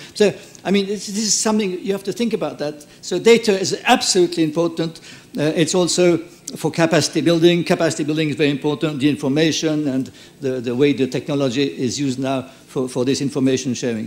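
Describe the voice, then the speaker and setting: Talking at a very fast pace, a man with a French accent uses lively intonation at a fairly high pitch. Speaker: conference speaker, former mayor. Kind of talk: conference wrap-up speech. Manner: halting.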